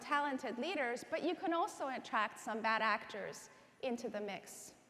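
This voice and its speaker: At a moderate pace, a woman with an American accent and a high pitch speaks over noticeable background noise. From Iran, then rural Southwest Virginia from age 14. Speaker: education advocacy organization president. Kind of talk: keynote speech. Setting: conference stage with audience.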